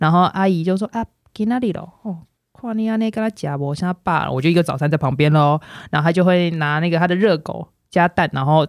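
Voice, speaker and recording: A woman with a Taiwanese accent speaks at a fairly quick pace in a fairly low voice with ordinary pitch variation, sounding dry and close with no echo on a very clean recording with a silent background. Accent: Taiwanese Mandarin. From northern Taiwan. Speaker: former schoolteacher. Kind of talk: casual chat.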